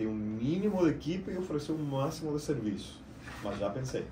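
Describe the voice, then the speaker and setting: With audible room echo around him, a man talks at a fairly quick pace, his pitch swinging very widely. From Argentina. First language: Spanish (speaking Portuguese). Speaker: IT business owner. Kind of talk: podcast interview.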